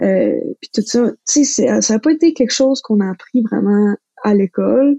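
A somewhat breathy woman at a fairly high pitch and a fairly slow pace. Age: 20s. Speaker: recent science graduate. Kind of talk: casual interview conversation.

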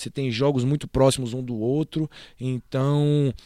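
In a very clean recording with a silent background and a dry, close sound with no echo, a man of medium pitch uses an ordinary speaking voice with fairly even intonation. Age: 20s. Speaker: basketball assistant coach. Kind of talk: casual interview.

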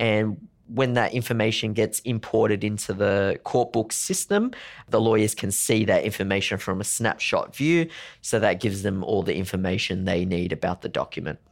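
A man with an Australian accent speaks at fairly low pitch and a moderate pace, with ordinary pitch variation. The recording is very clean, with a silent background. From Sydney, Australia. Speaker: legal technology consultant. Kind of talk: interview.

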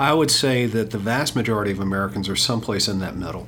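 A man talks at a fairly quick pace with a fairly low pitch and very wide pitch swings. Noticeable background noise is present. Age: 50s. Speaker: podcast host, finance commentator. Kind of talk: casual chat. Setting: studio.

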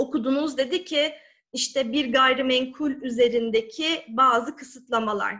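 A woman with a high pitch and a bright, sharp tone projects a raised voice at a fairly slow pace, with ordinary pitch variation. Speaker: lawyer and sworn translator. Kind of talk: talk on legal English.

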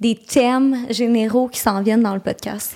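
A woman with a Quebec accent talks at a moderate pace and a fairly high pitch. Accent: Québécois French. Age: 20s. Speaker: podcast co-host. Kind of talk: casual chat.

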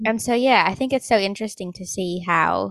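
A woman with an Australian accent at a fairly slow pace, ordinary pitch variation, and a dry, close sound with no echo. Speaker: podcast host who stutters. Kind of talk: casual interview. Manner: halting.

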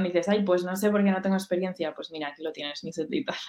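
A woman at a medium pitch. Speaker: university student, event organizer. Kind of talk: casual interview on a live stream.

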